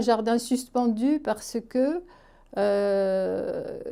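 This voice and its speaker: A woman's fairly high voice, dark and mellow in tone, with ordinary pitch variation, on a very clean recording with a silent background. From France, Aveyron (Roquefort). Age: 70s. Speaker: retired social worker and theatre performer. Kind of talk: interview testimony. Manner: hesitant, many fillers.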